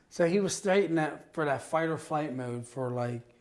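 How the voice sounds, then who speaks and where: A man in a normal speaking voice talks at a moderate pace, his pitch fairly high with ordinary variation. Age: 40s. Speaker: divorced father sharing his story. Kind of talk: casual podcast interview.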